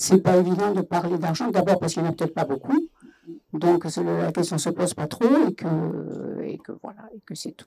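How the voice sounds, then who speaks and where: A woman's fairly low voice, dark and mellow in tone, with vocal fry, a fairly quick pace, long and frequent pauses, and big swings in loudness. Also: ordinary pitch variation. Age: 70s. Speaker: workshop participant. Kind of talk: panel discussion. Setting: festival debate, live radio.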